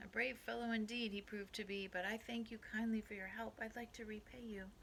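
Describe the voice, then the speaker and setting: Over clear background noise, a put-on character voice with fairly high pitch moves at a fairly quick pace. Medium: read story.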